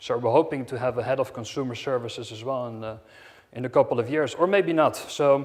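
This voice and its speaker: A man speaks in a medium pitch with a Dutch accent. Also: ordinary pitch variation, fairly quick pace, big swings in loudness. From Netherlands, Amsterdam. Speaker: hotel company director. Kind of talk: conference talk. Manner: halting, many fillers.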